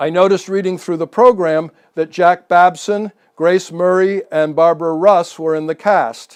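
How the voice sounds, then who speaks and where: A man with an American accent talks in a normal speaking voice at a moderate pace. His intonation stays fairly even. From New England, Massachusetts coast. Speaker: local history speaker. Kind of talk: public talk. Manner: reads prepared text.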